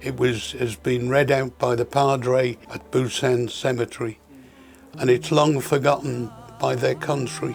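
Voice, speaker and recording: A man speaks at a fairly slow pace with a British accent, his medium-pitched voice showing ordinary pitch variation over music in the background. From United Kingdom. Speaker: war veteran. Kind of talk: interview answer.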